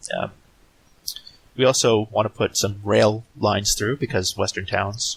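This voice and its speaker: A man speaks in a relaxed tone with a fairly low pitch. The sound is dry and close with no echo, and background noise is noticeable. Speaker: Minecraft let's play creator. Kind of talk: casual gameplay commentary. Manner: relaxed, hesitant with fillers.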